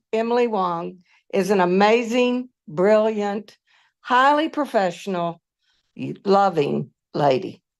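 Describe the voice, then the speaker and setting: Against a quiet background, a woman with a Southern US accent and fairly high pitch speaks very slowly with lively intonation. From US South. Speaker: former faculty colleague. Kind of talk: memorial tribute. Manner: halting.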